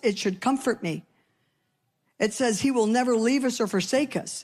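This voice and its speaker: The recording is very clean with a silent background as a woman speaks at a moderate pace in a normal speaking voice, fairly high-pitched with ordinary pitch variation. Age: 60s. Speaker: pastor. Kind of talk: sermon.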